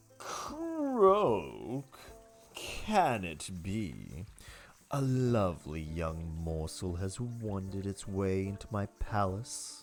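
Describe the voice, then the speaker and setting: Over faint music in the background, a man uses a put-on character voice with a theatrical tone, fairly low pitch and a very slow pace. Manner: theatrical, predatory, greeting.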